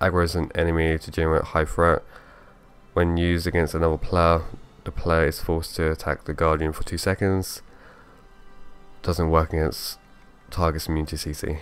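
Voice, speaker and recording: This man's voice is very deep and low, with fairly even intonation at a moderate pace. He takes long, frequent pauses while music plays in the background. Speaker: gaming video host. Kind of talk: game commentary, skill walkthrough. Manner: casual.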